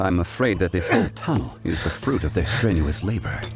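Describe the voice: A man speaks in a put-on character voice, low-pitched with vocal fry and big swings in pitch. He talks at a fairly quick pace over faint background noise.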